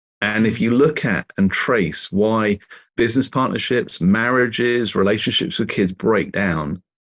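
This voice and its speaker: A man with a British accent talks at a moderate pace and a fairly low pitch. The sound is dry and close with no echo, over a quiet background. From England. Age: 50s. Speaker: author and leadership consultant. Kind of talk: interview.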